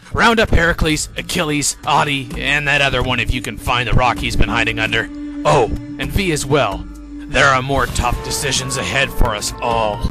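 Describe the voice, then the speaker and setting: A man's put-on character voice at a moderate pace, with music in the background. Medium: machinima. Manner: casual, wry.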